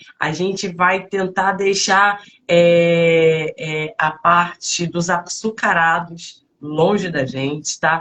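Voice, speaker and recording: A woman is speaking. Her pitch sits fairly low. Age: 40s. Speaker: fitness coach. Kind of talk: live stream talk. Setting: online live stream. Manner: halting, many fillers.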